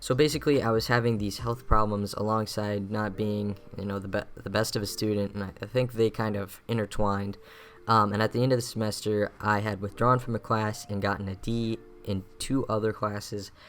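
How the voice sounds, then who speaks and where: Using monotone, flat intonation, a man speaks at a fairly quick pace with a fairly low pitch. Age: 20s. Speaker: gaming YouTuber, college student. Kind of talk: casual vlog talk over gameplay. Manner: casual with frequent fillers.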